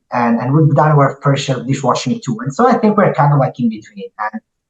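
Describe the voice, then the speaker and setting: A man with an Italian accent, fairly high-pitched and somewhat breathy, at a fairly quick pace with very wide pitch swings. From Italy. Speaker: restaurant entrepreneur. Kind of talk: podcast interview.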